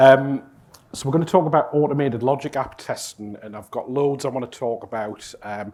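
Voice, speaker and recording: Speaking with a Geordie accent, a man talks at a fairly quick pace with a medium pitch. His pitch varies normally, but his loudness rises and falls sharply. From northern England, Newcastle. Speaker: conference speaker, cloud integration consultant. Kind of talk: conference talk. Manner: casual, filler-heavy.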